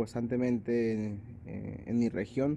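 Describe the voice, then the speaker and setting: A man with a Colombian accent talks at a fairly slow pace in a dark, mellow tone. His medium pitch stays monotone and flat. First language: Sikuani (speaking Spanish). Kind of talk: testimony. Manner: halting, many hesitations.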